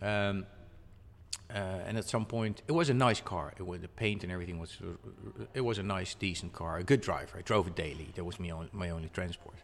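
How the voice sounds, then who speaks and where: A man talks at a fairly quick pace with a Dutch accent. His pitch is very deep and low. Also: ordinary pitch variation. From Netherlands. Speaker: magazine publisher. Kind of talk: casual interview. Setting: at a car show. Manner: halting.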